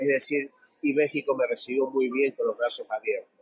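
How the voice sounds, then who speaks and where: At a moderate pace, a man with an Argentine accent speaks in a dry, close sound with no echo. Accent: Argentine Spanish, voseo. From Argentina, small town. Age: 50s. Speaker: financial analyst, technical analysis. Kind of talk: interview.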